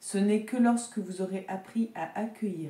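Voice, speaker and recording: With a dark, mellow tone, a woman talks in a somewhat breathy voice. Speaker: tarot reader and energy healer. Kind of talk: oracle card reading. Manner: hesitant, with fillers.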